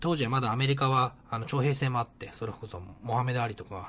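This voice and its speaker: Speaking very fast, the man keeps his voice at a medium pitch. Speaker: podcast host. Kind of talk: casual solo podcast monologue.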